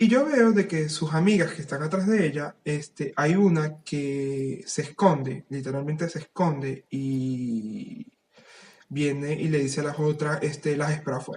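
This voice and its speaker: A man speaks at a fairly high pitch, somewhat breathy. His pitch varies in an ordinary way and his pace is fairly slow. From Venezuela. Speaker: writer. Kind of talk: casual chat.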